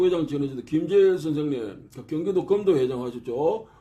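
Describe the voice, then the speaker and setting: A man talks at a moderate pace with lively intonation. Noticeable background noise can be heard. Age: old. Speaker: martial arts researcher. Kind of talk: casual lecture. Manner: halting, many fillers.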